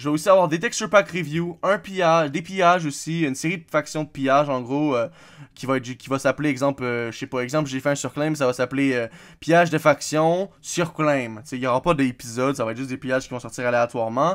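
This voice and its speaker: A fairly high-pitched man at a very fast pace, with ordinary pitch variation, on a very clean recording with a silent background. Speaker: gaming YouTuber. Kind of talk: casual channel update vlog. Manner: hesitant, many fillers.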